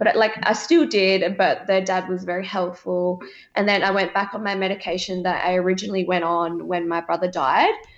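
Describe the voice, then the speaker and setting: A woman speaks in an Australian accent at a medium pitch. Her pace is fairly quick and her intonation fairly even. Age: 20s. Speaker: reality TV contestant. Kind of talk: interview.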